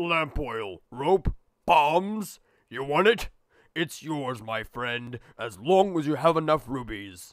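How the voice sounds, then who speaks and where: In a put-on character voice, a man speaks at a fairly high pitch and fairly slow pace, in a very clean recording with a silent background. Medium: dub. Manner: drawn-out hesitation.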